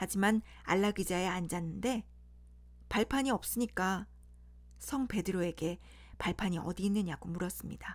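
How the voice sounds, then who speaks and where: In a very clean recording with a silent background, a woman with a somewhat breathy voice talks at a moderate pace with lively intonation. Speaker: storyteller. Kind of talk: bedtime fairy tale reading. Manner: plain reading without character voices.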